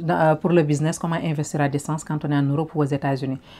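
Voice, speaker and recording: In a Senegalese accent, a woman with a very deep, low pitch and a dark, mellow tone speaks very fast with fairly even intonation on a very clean recording with a silent background. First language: Wolof (speaking French). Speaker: online business vlogger. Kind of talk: casual advice vlog, Wolof-French code-switching.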